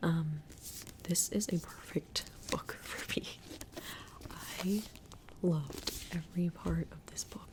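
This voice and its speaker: A woman's whispering at a fairly slow pace, with long, frequent pauses, big swings in loudness and noticeable background noise. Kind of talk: casual talk to camera. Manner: soft-spoken.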